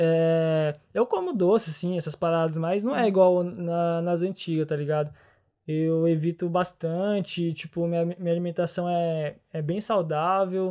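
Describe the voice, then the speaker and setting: Dark, mellow tone at a fairly slow pace with fairly even intonation. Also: man, high pitch for a man. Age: 20s. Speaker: chemical engineering student. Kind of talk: casual conversational interview. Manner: hesitant, with fillers and repetitions.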